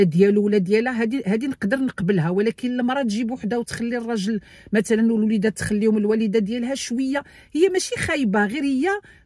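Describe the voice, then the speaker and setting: A woman talks at a fairly quick pace, fairly high in pitch and somewhat breathy, with ordinary pitch variation. The sound is dry with no echo over a quiet background. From Morocco. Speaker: YouTuber giving immigration advice. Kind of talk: tutorial. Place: car. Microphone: phone near.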